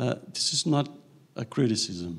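With vocal fry, a man speaks at a moderate pace. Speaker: audience member asking question; audience member. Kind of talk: Q&A question. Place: hall.

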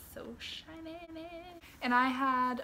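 Loud background noise fills the recording. A woman talks at a very slow pace. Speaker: book reviewer. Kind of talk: book walkthrough, casual talk to camera. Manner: not whispered. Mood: cheerful, gentle. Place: home room. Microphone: phone near.

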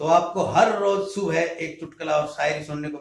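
A man speaks at a moderate pace. Room echo is audible around his voice. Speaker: comedy channel host. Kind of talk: channel announcement to viewers. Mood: cheerful, promotional. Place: home room. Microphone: phone near.

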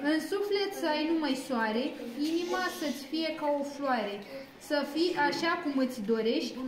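With noticeable background noise behind her, a woman talks at a fairly slow pace in a high voice, with ordinary pitch variation and very even loudness. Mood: warm, festive. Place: home room. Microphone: phone near.

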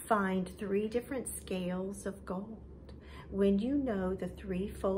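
The text is read aloud plainly.

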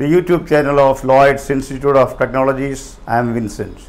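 Moderate pace and ordinary pitch variation, with audible room echo. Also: man, medium pitch for a man.

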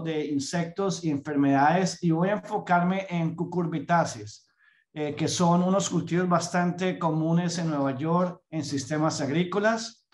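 A man speaks at a fairly slow pace in a high pitch with ordinary pitch variation. The background is quiet. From Colombia. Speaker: entomologist, pest management program director; presenter. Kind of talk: lecture. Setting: video call. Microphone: video call.

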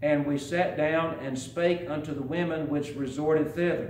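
With audible room echo and light background noise, a man speaks in fairly even intonation. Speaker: preacher. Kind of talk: sermon. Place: church. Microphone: podium.

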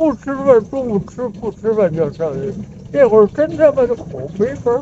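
A man with a Beijing accent, high-pitched, with very wide pitch swings and light background noise. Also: moderate pace. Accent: Beijing Mandarin. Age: 80s+. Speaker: elderly local resident. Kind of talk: street interview answer. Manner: stammering. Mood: reminiscing about hard times. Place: street. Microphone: phone near.

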